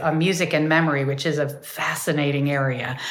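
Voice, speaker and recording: There is noticeable background noise. Over it, a woman rushes along at a very fast pace. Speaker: music therapist and author. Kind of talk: casual interview chat. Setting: video call.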